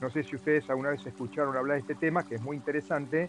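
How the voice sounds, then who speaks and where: Music plays behind a man talking at a very fast pace in a medium pitch. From Argentina. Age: 70s. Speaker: triathlete. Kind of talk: interview testimony.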